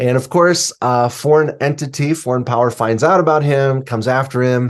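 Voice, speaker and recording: A man speaks in an unremarkable speaking voice with an American accent, medium in pitch, at a moderate pace. His intonation is fairly even against a quiet background. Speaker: suspense novelist and writing teacher. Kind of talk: podcast interview.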